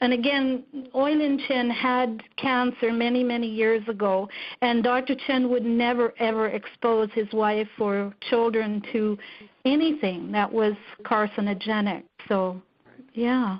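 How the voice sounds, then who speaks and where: A woman speaks at a fairly slow pace with fairly even intonation. Hers is a plain, everyday voice, and her loudness stays very even. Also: fairly high pitch for a woman. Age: 50s. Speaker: network marketing distributor. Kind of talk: testimony.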